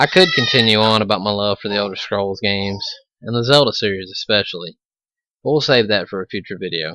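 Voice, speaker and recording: Speaking in an Alabama accent, this voice moves at a fairly quick pace broken by long, frequent pauses. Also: man. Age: 20s. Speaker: gaming video creator. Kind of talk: let's play commentary.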